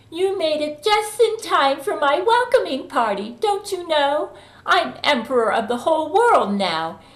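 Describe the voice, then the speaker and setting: A woman's squeaky, high put-on character voice with very wide pitch swings at a moderate pace. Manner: gloating, menacing.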